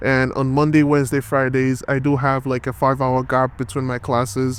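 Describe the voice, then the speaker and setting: Against noticeable background noise, a man with a Nigerian accent speaks at a moderate pace and medium pitch. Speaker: college student vlogger. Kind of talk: casual vlog monologue.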